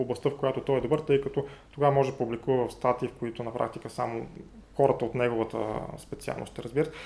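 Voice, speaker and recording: A man's medium-pitched voice with a dark, mellow tone and monotone, flat intonation. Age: 40s. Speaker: chemistry professor. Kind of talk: interview. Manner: halting, many fillers.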